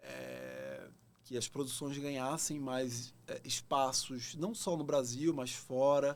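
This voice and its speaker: A man talks very slowly at a fairly high pitch, with ordinary variation in his pitch. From Brazil, Pernambuco (Recife). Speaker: actor. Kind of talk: podcast interview.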